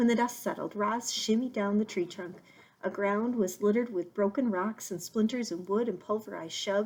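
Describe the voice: The speaker is reading. It is plain reading aloud.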